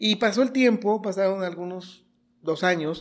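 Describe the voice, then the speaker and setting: The voice moves at a moderate pace with ordinary pitch variation on a very clean recording with a silent background. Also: man. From Mexico, Michoacán (Los Reyes). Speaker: local TV journalist. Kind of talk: interview.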